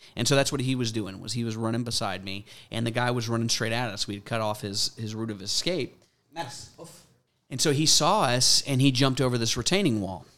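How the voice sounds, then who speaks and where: A man with an American accent at a medium pitch and fairly quick pace, in a very clean recording with a silent background. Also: ordinary pitch variation. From US South (Mandeville, Louisiana, near New Orleans). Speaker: police K9 sergeant, former Marine and pastor. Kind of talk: interview conversation.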